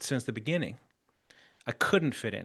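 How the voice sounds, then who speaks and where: Over a quiet background, a man with a non-native accent speaks with ordinary pitch variation. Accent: foreign accent noticeable in English. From Chile. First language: Spanish. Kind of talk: interview.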